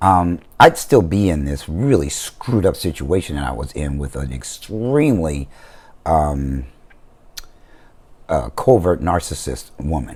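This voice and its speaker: Lively intonation in a man's very deep, low-pitched voice. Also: fairly slow pace. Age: 60s. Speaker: vlogger. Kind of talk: casual vlog monologue.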